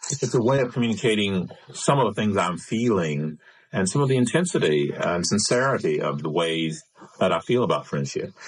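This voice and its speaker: A man with vocal fry, a fairly low pitch and very wide pitch swings at a fairly quick pace. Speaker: radio talk show host. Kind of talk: radio interview. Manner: speeds up when vehement.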